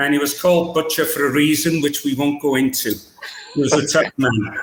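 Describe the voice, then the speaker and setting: With a Welsh accent, a man speaks at a moderate pace. His pitch sits fairly high. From Wales, Cardiff. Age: 70s. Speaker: rugby coach. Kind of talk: podcast interview.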